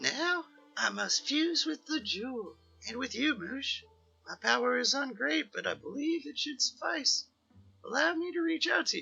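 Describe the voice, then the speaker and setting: A man's put-on character voice at an extremely high pitch and moderate pace, with faint music in the background. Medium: game stream. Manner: theatrical, wordplay-laden.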